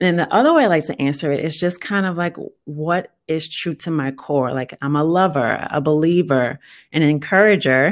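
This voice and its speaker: In a very clean recording with a silent background, a woman speaks at a very deep, low pitch and a moderate pace with ordinary pitch variation. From US South, New Orleans. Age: 30s. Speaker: guest, software analyst. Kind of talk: personal testimony.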